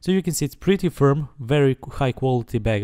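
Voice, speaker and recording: Delivered at a very fast pace in a non-native accent, the dark, mellow voice sounds dry and close with no echo. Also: man. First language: not English. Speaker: tech reviewer. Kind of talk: product review. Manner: hesitant, many fillers.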